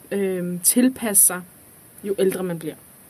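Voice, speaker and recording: A woman speaks in a normal speaking voice, keeping a moderate pace and ordinary pitch variation. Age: 20s. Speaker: student teacher. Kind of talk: casual chat.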